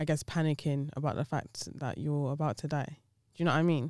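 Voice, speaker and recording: A woman speaks in a very deep, low pitch. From UK, Nigerian heritage. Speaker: podcast host. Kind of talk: casual chat.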